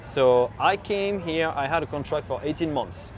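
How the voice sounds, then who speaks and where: A man's voice shows ordinary pitch variation, with noticeable background noise behind it. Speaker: farm supply business owner. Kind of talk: casual interview chat. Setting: outdoors at a farm show.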